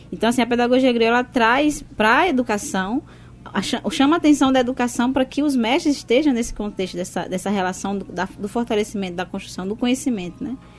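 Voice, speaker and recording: Lively intonation marks speech delivered at a fairly quick pace. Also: woman, high pitch for a woman. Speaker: educator. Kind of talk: radio interview.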